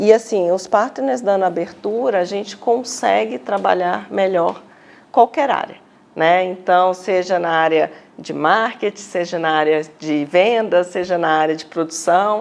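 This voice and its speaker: Her pitch is medium and varies in an ordinary way as the woman speaks at a fairly slow pace. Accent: mineiro. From Minas Gerais, Brazil (Belo Horizonte). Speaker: finance executive. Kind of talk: TV interview.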